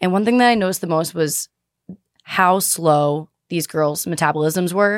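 In an American accent, a woman with an ordinary speaking voice talks at a medium pitch with fairly even intonation, in a very clean recording with a silent background and a dry, close sound with no echo. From Boston. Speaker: fitness podcaster and entrepreneur. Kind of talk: casual chat.

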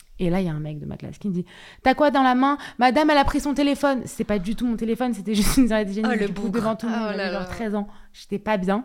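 Very fast delivery from a woman, her pitch fairly high and ordinarily varied. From France, Paris. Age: 20s. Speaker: content creator. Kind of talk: casual chat.

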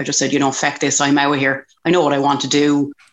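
A woman with an Irish accent speaks in a very deep, low pitch. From Ireland, County Kildare. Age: 40s. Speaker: country music singer. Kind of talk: casual chat.

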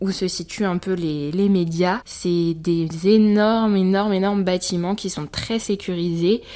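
Dark, mellow tone from a woman at medium pitch, ordinary pitch variation and a fairly slow pace. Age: 20s. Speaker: podcaster and intern. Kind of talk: casual monologue. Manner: animated.

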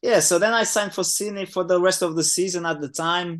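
A man with a Portuguese accent speaks in a high-pitched voice with ordinary pitch variation. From Portugal. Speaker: professional footballer. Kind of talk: casual interview. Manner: relaxed, hesitant with filler words.

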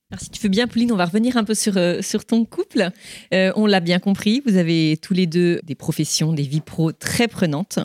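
A woman's unremarkable speaking voice at medium pitch, with ordinary pitch variation and a moderate pace, in a dry, close sound with no echo. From southern France, Toulon. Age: 40s. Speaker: podcast host. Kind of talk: live interview. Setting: stage with audience.

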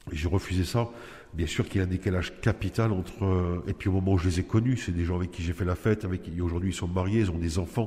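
Talking at a very fast pace, a man uses a very deep, low, somewhat breathy voice with a dark, mellow tone and fairly even intonation. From Nice, southern France. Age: 40s. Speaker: prisoner. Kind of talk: personal testimony. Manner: halting, with hesitations.

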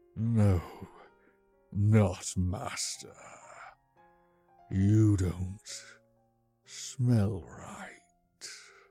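A put-on character voice speaks at a very slow pace with long, frequent pauses. Faint music plays in the background. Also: man, fairly low pitch for a man.

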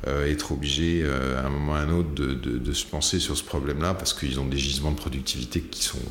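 A man's very deep, low voice at a very fast pace, with fairly even intonation, audible room echo and noticeable background noise. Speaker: company founder and CEO, sales expert. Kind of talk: casual interview. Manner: hesitant, many fillers and repetitions.

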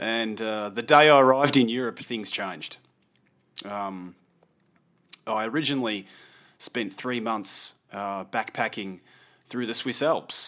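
A man's medium-pitched voice with an Australian accent, a bright, sharp tone and ordinary pitch variation, at a fairly slow pace with long, frequent pauses, on a very clean recording with a silent background. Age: 40s. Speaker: landscape photographer. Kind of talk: casual interview.

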